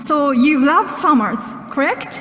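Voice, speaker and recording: A woman's high-pitched voice with a Japanese accent, at a fairly slow pace, amid noticeable background noise. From Japan, Okinawa. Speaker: journalist. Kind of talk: speech. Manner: halting.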